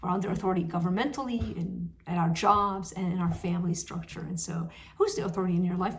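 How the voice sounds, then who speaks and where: A woman speaks very fast in a fairly low, somewhat breathy voice with fairly even intonation. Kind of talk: devotional talk to camera. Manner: casual, conversational.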